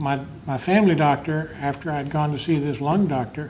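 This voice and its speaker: A man talks at a fairly high pitch with fairly even intonation. Audible room echo and noticeable background noise fill the recording. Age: 60s. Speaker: laid-off software engineer and veteran. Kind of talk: personal testimony. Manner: halting.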